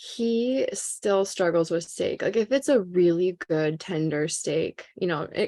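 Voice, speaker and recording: A woman with a Minnesotan accent talks fairly slowly at a medium pitch. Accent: Minnesota. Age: 30s. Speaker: podcast guest, veteran and mother. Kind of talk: casual interview chat. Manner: animated.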